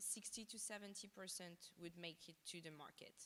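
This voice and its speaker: Her pitch fairly low, a woman speaks with a French accent. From France. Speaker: fashion designer. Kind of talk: interview on stage. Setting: stage with audience. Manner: halting, many fillers.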